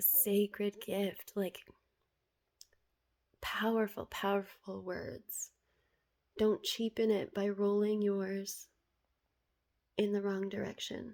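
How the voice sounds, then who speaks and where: A woman's medium-pitched, monotone, flat voice at a very slow pace, broken by long, frequent pauses. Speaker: spiritual vlogger. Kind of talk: reading aloud and reflective monologue. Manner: stutters at times; casual, repetitive filler words.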